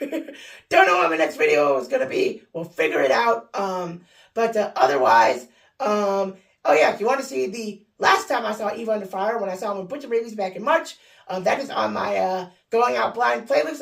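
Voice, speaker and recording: A woman's fairly high voice at a fairly quick pace, with very wide pitch swings and vocal fry. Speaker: vlogger. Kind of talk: casual vlog talk. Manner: hesitant, many fillers.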